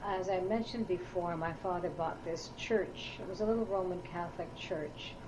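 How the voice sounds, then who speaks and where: A woman with a Canadian accent, fairly low in pitch, at a moderate pace with fairly even intonation, amid audible room echo and noticeable background noise. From Ottawa, Canada. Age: 60s. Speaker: oral history interviewee. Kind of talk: oral history interview. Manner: hesitant, with fillers.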